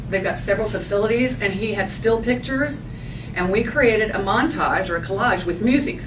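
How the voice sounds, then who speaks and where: Speaking at a fairly quick pace with lively intonation, a woman with a medium-pitched voice is heard over noticeable background noise and audible room echo. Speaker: marketing presenter. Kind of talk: business presentation. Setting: lunch seminar with audience. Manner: fast.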